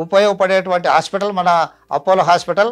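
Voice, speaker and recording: A man in monotone, flat intonation, on a very clean recording with a silent background. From Andhra Pradesh, Nandyala. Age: 70s. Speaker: retired headmaster, patient. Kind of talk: testimony. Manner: halting.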